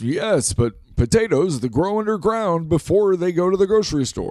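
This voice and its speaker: A man puts on a character voice, pitched high. He speaks at a moderate pace. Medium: comedy sketch. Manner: chatty, inquisitive.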